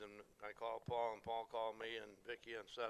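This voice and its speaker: At a fairly quick pace, a man of medium pitch talks with an American accent in a bright, sharp tone. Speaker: veteran auctioneer. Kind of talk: speech to audience.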